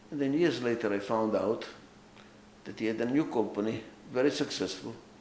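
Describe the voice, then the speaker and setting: In a room with audible echo, a man at medium pitch speaks fairly quickly with ordinary pitch variation. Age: 80s+. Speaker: author and management consultant. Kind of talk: autobiographical talk.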